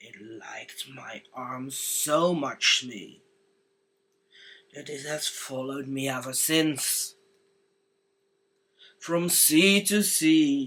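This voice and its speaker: Using a put-on character voice, a man talks very slowly at a fairly high pitch, with long, frequent pauses. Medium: read story.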